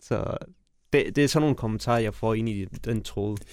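Very clean recording of a man, the background silent. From Afghanistan, raised in Denmark. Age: 30s. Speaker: mayoral candidate, politician. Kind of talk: interview.

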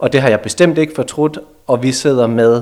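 A man's plain, everyday voice with fairly even intonation at a moderate pace. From Denmark, near Aarhus. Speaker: lawyer. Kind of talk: radio interview.

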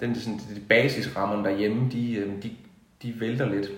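A man speaks at a very slow pace. Room echo is audible around him. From Denmark, Haderslev (South Jutland). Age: 40s. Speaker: musician. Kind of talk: interview. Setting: at the host's home. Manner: halting.

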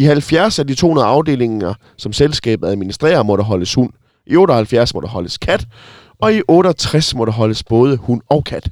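Very wide pitch swings at a fairly slow pace, on a very clean recording with a silent background. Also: man. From Denmark, Sønderborg. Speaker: radio host. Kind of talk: casual chat. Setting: in a bus.

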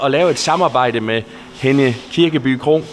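Noticeable background noise beneath a fairly slow delivery. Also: man. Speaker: podcast interviewer. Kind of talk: interview. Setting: on location in a bakery.

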